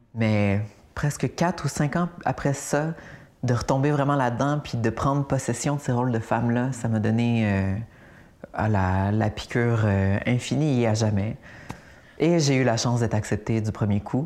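The speaker talks fairly slowly in a Quebec accent. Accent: Québécois French. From Quebec, Laurentides. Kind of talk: interview.

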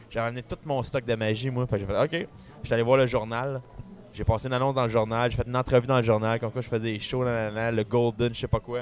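Flat, monotone intonation runs throughout. The speaker has a Quebec accent. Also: man, medium pitch for a man. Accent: Québécois French. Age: 30s. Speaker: magician. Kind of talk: casual chat. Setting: restaurant.

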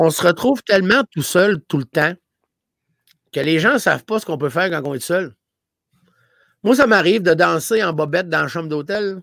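Recorded very cleanly with a silent background and a dry, close sound with no echo, a man with a Gaspésie accent speaks at a high pitch and leaves long, frequent pauses. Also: lively intonation, moderate pace. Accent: Gaspésie accent, noticeable. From Gaspésie, Quebec. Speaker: comedian. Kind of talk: casual chat.

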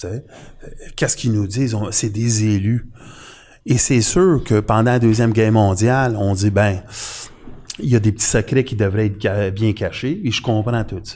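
At a moderate pace, a man speaks in a fairly low, dark, mellow voice with fairly even intonation and long, frequent pauses, on a very clean recording with a silent background. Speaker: conspiracy commentator. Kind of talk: casual chat.

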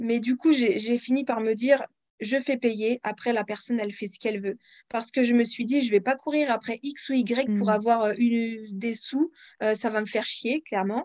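A woman uses an ordinary speaking voice at a fairly high pitch. She talks at a moderate pace with fairly even intonation. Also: dry, close sound with no echo. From France. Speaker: independent author and audiobook narrator. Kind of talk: interview.

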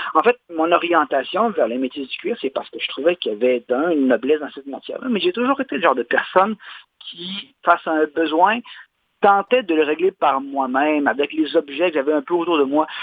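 This is a normal speaking voice from a man, pitched fairly high for a man. He talks at a fairly quick pace with lively intonation. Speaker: leather craftsman. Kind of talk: interview. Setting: phone call.

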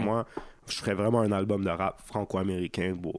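A man talks, and his pitch varies in an ordinary way. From Quebec, Montreal (Saint-Léonard). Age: young. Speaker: rapper. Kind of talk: casual chat. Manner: laid-back slangy speech with English words.

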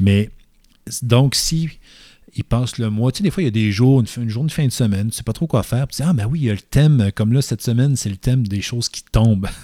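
Very fast and in a dark, mellow tone, a man speaks at a medium pitch with ordinary pitch variation, in a very clean recording with a silent background and a dry, close sound with no echo. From Quebec City area (Loretteville), Quebec. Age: 40s. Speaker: photographer. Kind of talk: casual chat. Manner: halting.

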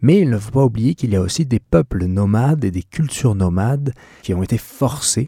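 A man speaks at a moderate pace and medium pitch, his voice somewhat breathy with lively intonation. The recording is very clean with a silent background, and the sound is dry and close with no echo. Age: 30s. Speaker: podcast host, van-life traveller. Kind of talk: solo podcast monologue. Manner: halting, with fillers and repetitions.

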